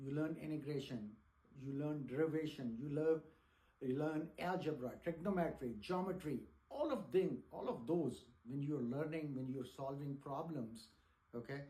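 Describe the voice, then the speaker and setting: A man speaks at a moderate pace with a fairly high pitch and ordinary pitch variation. His dark, mellow tone is somewhat breathy, and the room echo is audible. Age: 60s. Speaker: teacher. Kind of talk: lecture. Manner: halting.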